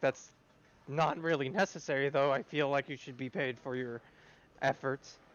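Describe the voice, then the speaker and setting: Using a raspy put-on character voice at a medium pitch, a man speaks at a moderate pace with long, frequent pauses. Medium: actual play. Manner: polite, formal.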